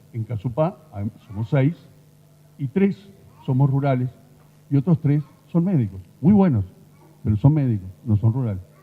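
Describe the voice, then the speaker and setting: A man with a medium-pitched, somewhat breathy voice speaks at a moderate pace with very wide pitch swings. He leaves long, frequent pauses. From Uruguay. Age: 60s. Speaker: rural doctor. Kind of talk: conference talk.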